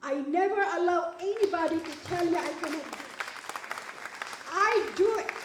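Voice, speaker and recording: The speaker has a non-native accent and an animated tone with ordinary pitch variation. There is audible room echo and noticeable background noise. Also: woman. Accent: foreign. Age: 70s. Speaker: award recipient, businesswoman. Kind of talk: award acceptance speech.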